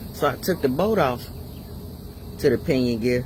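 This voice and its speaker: A man's pitch swings very widely as he talks. Noticeable background noise sits under his voice. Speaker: DIY mechanic. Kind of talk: tutorial. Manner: casual.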